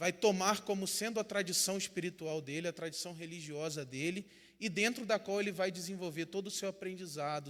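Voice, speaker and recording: This man speaks at a high pitch in a Rio de Janeiro accent. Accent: Rio de Janeiro (carioca), noticeable. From Brazil, São Gonçalo, Rio de Janeiro state. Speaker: pastor and theology teacher. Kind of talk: lecture.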